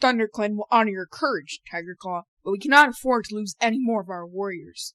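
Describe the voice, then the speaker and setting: A female-sounding put-on character voice speaks at a medium pitch and a fairly quick pace. The recording is very clean, with a silent background. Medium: audio drama. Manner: steady, authoritative.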